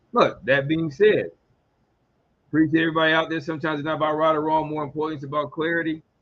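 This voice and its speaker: Talking at a very fast pace, a man uses a fairly high voice. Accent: American. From US South, Georgia and Mississippi. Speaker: radio talk show host and legal consultant. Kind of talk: live radio talk show monologue. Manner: animated.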